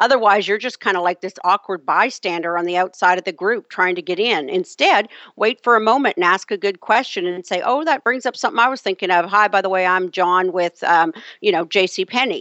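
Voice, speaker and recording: A woman with a plain, everyday voice talks at a fairly quick pace, her medium pitch showing ordinary variation. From Canada. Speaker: HR consultant and author. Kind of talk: interview.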